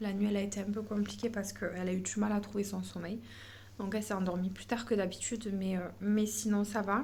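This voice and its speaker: A woman talks at a fairly quick pace with fairly even intonation. Her voice is somewhat breathy, and the room echo is audible. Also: medium pitch for a woman. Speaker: family vlogger. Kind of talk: casual vlog talk to camera. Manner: hesitant, many fillers.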